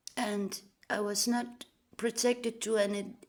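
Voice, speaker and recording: A woman with a Danish accent speaks very slowly at a fairly high pitch with fairly even intonation. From Denmark. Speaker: vlogger. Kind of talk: personal monologue.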